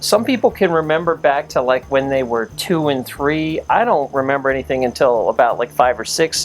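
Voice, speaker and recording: Noticeable noise sits behind the voice. The man keeps a moderate pace. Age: 40s. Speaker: interviewer, son of the author. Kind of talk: casual family interview.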